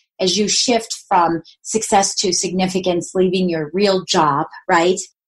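The woman's voice sits at medium pitch and is somewhat breathy. She speaks at a moderate pace. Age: 50s. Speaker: podcast host, retired mortgage lender. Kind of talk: solo monologue.

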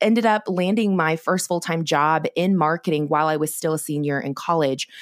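A woman with an American accent uses a normal speaking voice, fairly low in pitch and at a fairly quick pace. The sound is dry and close with no echo, on a very clean recording with a silent background. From US Pacific Northwest (Oregon). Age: 20s. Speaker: business coach and entrepreneur. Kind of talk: interview conversation.

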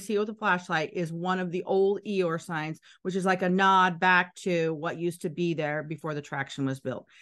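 She has a normal speaking voice at a medium pitch with ordinary pitch variation. Her pace is moderate. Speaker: Disney tour guide. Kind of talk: tour guide giving directions and insider tips, casual chat. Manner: clear, instructive, friendly.

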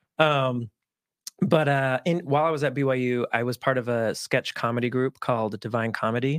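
A man speaks at a medium pitch and a moderate pace. His intonation stays fairly even, and the sound is dry and close with no echo. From Utah, US. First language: Spanish. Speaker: film producer and actor. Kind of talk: casual interview conversation. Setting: studio.

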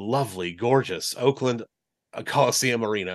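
Recorded dry and close with no echo against a quiet background, a man with a Californian accent talks at a medium pitch. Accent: General American (Californian). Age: 40s. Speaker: sports broadcaster. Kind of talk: casual interview.

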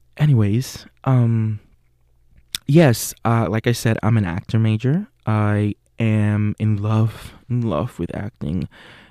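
A dark, mellow voice at a very slow pace with ordinary pitch variation, dry and close with no echo. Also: man. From Puerto Rico. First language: Spanish. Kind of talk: casual monologue; guided visualization.

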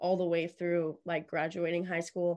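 A woman with a Texan accent speaks in a monotone, flat intonation. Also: quiet background. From Texas, Columbus. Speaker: country music singer-songwriter. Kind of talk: interview. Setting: studio.

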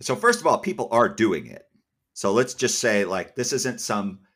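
With an American accent, an unremarkable speaking voice talks at a moderate pace with fairly even intonation in a very clean recording with a silent background. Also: man. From US Northeast, Massachusetts. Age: young. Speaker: editor and company founder. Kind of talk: interview.

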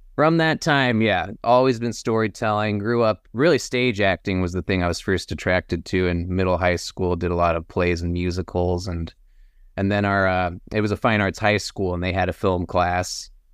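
Against a quiet background, a man speaks in a very deep, low pitch with an American accent. His pitch varies in an ordinary way. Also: moderate pace. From Texas, Austin. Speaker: filmmaker and actor. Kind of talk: casual interview.

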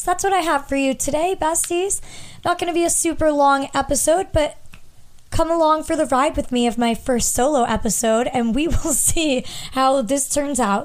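A woman's high-pitched voice with an American accent, at very even loudness. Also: ordinary pitch variation. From US Northeast, southern New Hampshire. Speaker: podcast host. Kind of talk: casual chat. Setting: home, handheld mic. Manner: fast talker.

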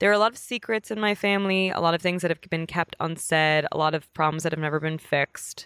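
A woman with an American accent talks at a very fast pace, her fairly low pitch showing ordinary variation. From New York, Queens (Bayside). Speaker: comedian and actress. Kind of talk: casual chat.

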